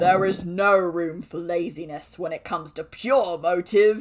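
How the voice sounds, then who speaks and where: Put-on character voice at a middle pitch and a moderate pace. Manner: condescending.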